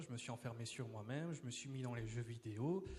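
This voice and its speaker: A man's voice is somewhat breathy. It sits at a medium pitch. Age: 20s. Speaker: church member giving testimony. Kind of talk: testimony. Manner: hesitant, many fillers and repetitions.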